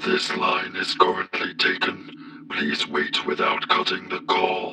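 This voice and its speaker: Using a put-on character voice, a man speaks at a fairly slow pace. Clear background noise is present. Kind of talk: comic dub.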